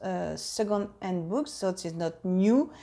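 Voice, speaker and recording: A woman's medium-pitched voice with a French accent and ordinary pitch variation. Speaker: harp teacher. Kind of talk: casual vlog update. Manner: halting, many fillers.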